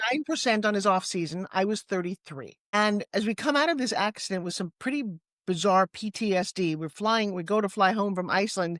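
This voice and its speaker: A woman with a New York accent speaks at a medium pitch and a fairly quick pace, her tone animated and her intonation lively, in a dry, close sound with no echo. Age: 60s. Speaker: fitness entrepreneur and pitch coach. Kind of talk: interview conversation. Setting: studio.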